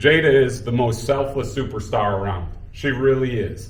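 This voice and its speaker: A man talks at a moderate pace in a medium pitch with audible room echo. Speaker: high school basketball coach. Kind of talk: speech at a celebration. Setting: room with audience. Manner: loud; animated.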